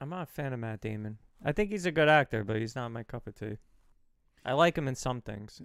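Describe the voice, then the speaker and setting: A man with a Brooklyn accent at a very fast pace and medium pitch, lively intonation, big swings in loudness, and a dry, close sound with no echo. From Brooklyn, New York. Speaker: podcast co-host. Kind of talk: casual chat.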